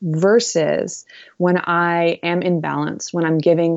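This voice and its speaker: A woman with an unremarkable speaking voice talks at a fairly slow pace. Her pitch is fairly low. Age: 20s. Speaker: author and mother-daughter workshop teacher. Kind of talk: interview conversation.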